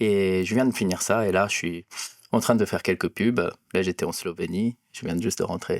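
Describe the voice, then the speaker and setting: The sound is dry and close with no echo. A man talks at a moderate pace with fairly even intonation. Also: fairly low pitch for a man. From Japan, near Osaka. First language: Japanese (speaking French). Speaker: cinematographer. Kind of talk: interview. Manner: halting, many hesitations.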